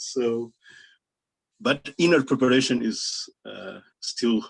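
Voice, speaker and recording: A man is speaking. He has a non-native accent. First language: not English. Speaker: Buddhist teacher. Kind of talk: Dharma talk. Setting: video call. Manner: halting.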